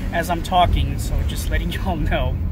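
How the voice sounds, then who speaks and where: Dry sound with no echo under loud background noise. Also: man. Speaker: movie vlogger. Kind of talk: casual vlog chat. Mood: relaxed, upbeat. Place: car. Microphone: phone near.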